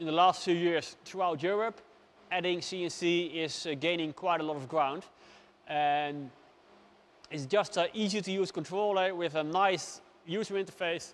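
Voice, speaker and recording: A man speaks with a Dutch accent. His voice is high in pitch. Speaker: woodworker. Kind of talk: product review. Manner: unscripted, hesitant with fillers.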